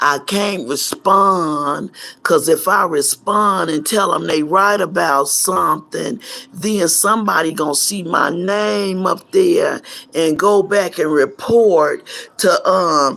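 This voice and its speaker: A woman talks at a very slow pace in a fairly low voice. Her intonation is lively. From South Central Los Angeles. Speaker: YouTuber, pastor's wife. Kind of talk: casual livestream monologue. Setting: at home. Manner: animated.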